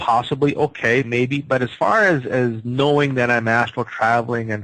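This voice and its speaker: Delivered in a normal speaking voice, the speech moves at a moderate pace with fairly even intonation. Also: man. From Canada. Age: 50s. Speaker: psychic healer. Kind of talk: radio interview.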